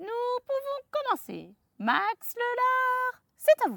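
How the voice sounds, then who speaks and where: Doing a put-on character voice, a woman speaks very slowly in a squeaky, extremely high pitch. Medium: read story. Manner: smug, teasing.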